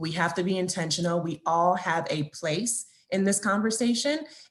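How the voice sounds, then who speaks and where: A woman with a somewhat breathy voice talks at a fairly low pitch. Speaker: account manager presenting at webinar. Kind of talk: webinar presentation. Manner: fast.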